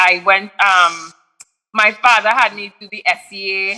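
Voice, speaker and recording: This is a woman talking at a medium pitch. Her voice has a bright, sharp tone. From Trinidad, then USA. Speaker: musician. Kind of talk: casual interview.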